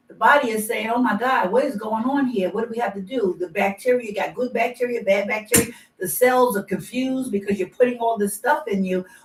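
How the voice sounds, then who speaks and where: At a fairly quick pace, a woman speaks in an animated tone with a fairly high pitch and ordinary pitch variation. Noticeable background noise can be heard. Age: 70s. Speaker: patient sharing healing testimony. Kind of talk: testimony.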